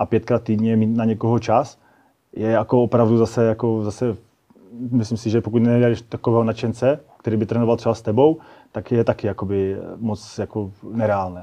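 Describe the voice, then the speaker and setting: A man speaks at a fairly quick pace in a monotone, flat delivery. His medium pitch carries a dark, mellow tone. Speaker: firefighter and fire sport athlete. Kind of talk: casual interview. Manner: halting.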